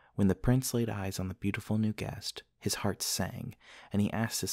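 The clip features an unforced reading voice. Its intonation stays fairly even.

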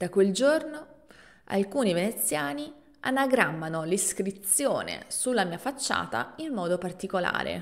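A woman with vocal fry, speaking fairly slowly with very wide pitch swings, against a quiet background. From Italy. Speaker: language teacher podcaster; Italian language teacher. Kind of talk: storytelling narration; tutorial. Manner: clear and slow. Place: home room. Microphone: studio mic.

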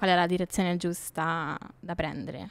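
A woman is speaking. The background is quiet. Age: 20s. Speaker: graphic designer; podcast guest. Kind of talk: casual interview. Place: studio. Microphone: studio mic.

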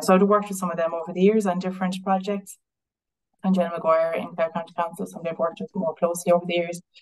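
A woman talks with an Irish accent. Her intonation stays fairly even. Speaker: council biodiversity officer. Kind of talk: online talk. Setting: video call. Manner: halting.

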